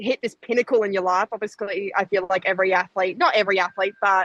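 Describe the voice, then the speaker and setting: A woman's fairly high, animated voice with an Australian accent, the sound dry and close with no echo. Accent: Australian, noticeable abroad. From Australia, Gold Coast. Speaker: Olympic sprinter. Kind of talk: interview. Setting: podcast. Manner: chatty, animated.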